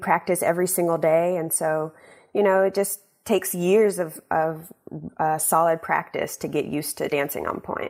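A woman with an American accent and an unremarkable speaking voice talks at a fairly slow pace, with fairly low pitch and fairly even intonation, in a very clean recording with a silent background. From US South, Shreveport, Louisiana. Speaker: ballerina. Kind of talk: radio interview.

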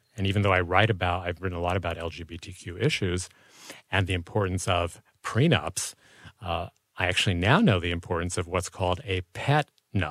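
Very deep and low in pitch, a man talks at a fairly quick pace with ordinary pitch variation, the sound dry and close with no echo, the recording very clean and the background silent. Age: 60s. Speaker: author and journalist. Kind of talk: casual interview.

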